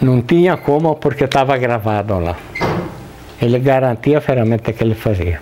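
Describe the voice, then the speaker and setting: A man's voice at medium pitch with ordinary pitch variation, over noticeable background noise. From southern Brazil, Rio Grande do Sul (Italian-descended rural area). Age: 70s. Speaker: interviewee, blacksmith's son. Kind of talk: interview, oral history. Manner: halting.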